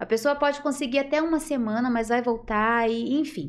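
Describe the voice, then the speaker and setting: With an ordinary speaking voice, a woman speaks at a fairly slow pace and a fairly high pitch, her intonation lively. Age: 40s. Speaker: natural therapies practitioner. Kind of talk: interview.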